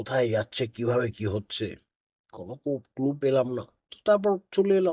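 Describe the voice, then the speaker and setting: Very wide pitch swings come through on a very clean recording with a silent background and a dry, close sound with no echo. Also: man. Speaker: publisher. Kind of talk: interview. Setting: studio.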